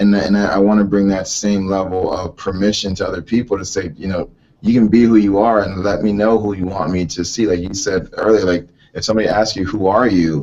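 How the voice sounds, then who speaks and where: A man's fairly low-pitched voice, monotone and flat, at a fairly quick pace. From US, Haitian-American family. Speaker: business owner and performer. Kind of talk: interview.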